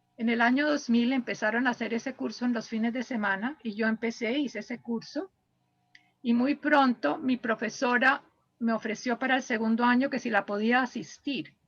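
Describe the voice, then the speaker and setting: This woman's high voice moves at a moderate pace, its pitch varying in an ordinary way. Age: 70s. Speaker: biographical counselor. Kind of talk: interview.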